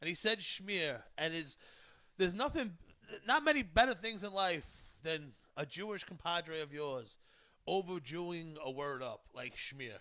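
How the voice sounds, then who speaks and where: In a Brooklyn accent, a man with a high pitch and a bright, sharp tone speaks at a fairly slow pace, using lively intonation and long, frequent pauses. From Brooklyn, New York. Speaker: talk show host. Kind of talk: casual chat.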